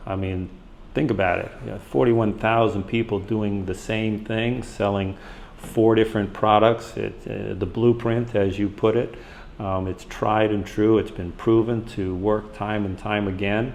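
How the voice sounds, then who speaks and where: A man speaks at a fairly slow pace with a fairly low pitch and fairly even intonation. Noticeable background noise can be heard. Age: 60s. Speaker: physical therapist, program member. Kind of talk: interview. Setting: in a condo on a meetup trip.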